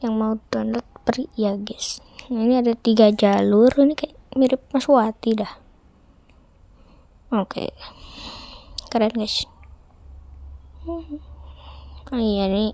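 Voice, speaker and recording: A woman speaks quietly and very slowly, with long, frequent pauses. The sound is dry and close with no echo. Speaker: gaming youtuber. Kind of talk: gameplay commentary. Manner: casual, chatty.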